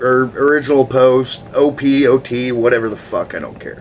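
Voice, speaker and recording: A man speaks at a fairly slow pace, and noticeable background noise can be heard around him. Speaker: gaming forum video blogger. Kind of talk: casual vlog talk. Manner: casual, rambling with filler words; stuttering, halting.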